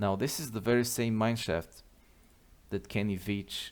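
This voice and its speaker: Here a man speaks at a fairly slow pace. His fairly low voice holds a fairly even intonation. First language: not English. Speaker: mystery video narrator. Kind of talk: video commentary.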